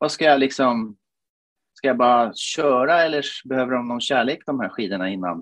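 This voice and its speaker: At a moderate pace, a man talks in a medium pitch. That pitch shifts in an ordinary way. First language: Finnish (speaking Swedish). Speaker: podcast co-host, amateur cross-country skier. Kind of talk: casual chat.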